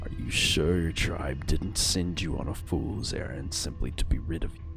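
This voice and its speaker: Over clear background noise, a man puts on a character voice with very deep, low pitch at a moderate pace. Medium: game stream. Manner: gruff, scornful.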